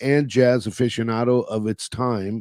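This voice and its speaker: A man with an American accent speaks at medium pitch in a dark, mellow tone. His pitch varies in an ordinary way, and the sound is dry and close with no echo. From California. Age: 60s. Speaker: retired jazz club owner. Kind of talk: casual interview.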